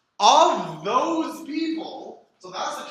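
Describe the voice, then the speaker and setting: Audible room echo colors the speech of a man. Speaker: data science instructor. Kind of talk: lecture. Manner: slow.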